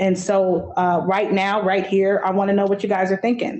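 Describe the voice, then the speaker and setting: Her intonation is flat and monotone. The woman's pitch is medium. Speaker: subcommittee chair. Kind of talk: public meeting discussion. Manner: stutter.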